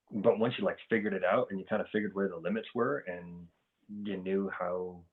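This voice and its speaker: A man speaks at a moderate pace. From South Africa, moved to US as a child. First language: Afrikaans. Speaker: military service member. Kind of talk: casual chat.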